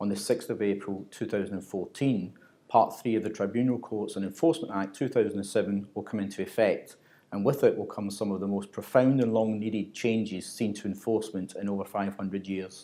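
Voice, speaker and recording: With a Glaswegian accent, a man speaks fairly quickly at a fairly low pitch, his tone dark and mellow and his intonation fairly even. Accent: Glaswegian Scottish. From Scotland, Glasgow. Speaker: corporate trainer. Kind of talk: scripted narration. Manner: formal.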